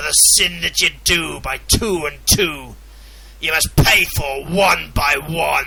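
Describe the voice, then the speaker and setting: Putting on a raspy character voice, a man talks at a fairly slow pace with a fairly high pitch. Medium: read story. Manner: scornful, commanding.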